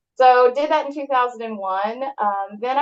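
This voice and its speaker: A woman speaks with a Texan accent. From southern Texas. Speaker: real estate agent. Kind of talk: interview.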